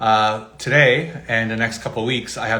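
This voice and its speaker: Through noticeable background noise, the speech moves at a moderate pace with fairly even intonation. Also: man. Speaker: community interviewer. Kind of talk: interview questions.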